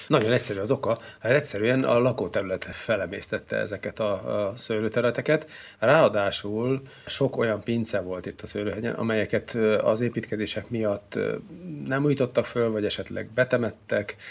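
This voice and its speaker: A man speaks at a medium pitch and moderate pace with ordinary pitch variation, a plain, everyday voice. The background is quiet. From Hungary, Szeged (Great Plain). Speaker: wine society grand master. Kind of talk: interview.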